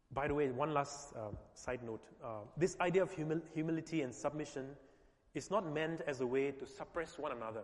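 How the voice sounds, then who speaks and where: A man at a fairly high pitch with ordinary pitch variation, over noticeable background noise. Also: moderate pace. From India. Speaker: pastor. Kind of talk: sermon. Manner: halting, paused for interpreter.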